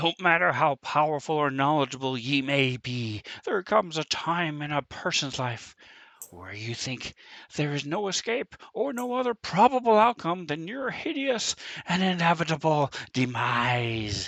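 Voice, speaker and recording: A man's put-on character voice, fairly high in pitch, with very wide pitch swings. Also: moderate pace, quiet background. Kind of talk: archaic, elevated ('ye'). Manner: theatrical, dramatic monologuing; in a voice noticeably different from his usual one.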